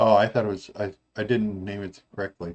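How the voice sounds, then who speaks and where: A man speaks in a monotone with flat intonation. His fairly low voice keeps a moderate pace. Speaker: website builder tutorial presenter. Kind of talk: tutorial. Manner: halting, many fillers.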